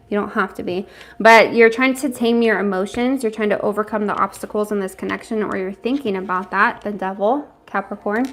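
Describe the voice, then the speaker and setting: Fairly quick delivery with hardly any pauses and fairly even intonation. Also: woman, fairly high pitch for a woman. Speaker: tarot reader. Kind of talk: live tarot reading. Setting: home livestream. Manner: fast.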